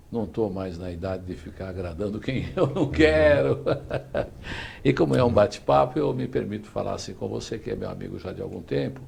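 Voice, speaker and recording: Over noticeable background noise, a man with a fairly low pitch talks at a moderate pace, his pitch swinging very widely and his loudness rising and falling sharply. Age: 60s. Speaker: talk show host. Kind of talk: interview; show sign-off. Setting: online live show.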